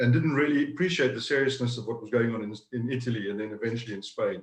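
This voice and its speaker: A man with a South African accent talks at a fairly quick pace and medium pitch. His voice is somewhat breathy. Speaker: business owner. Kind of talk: interview. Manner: halting, repeats words.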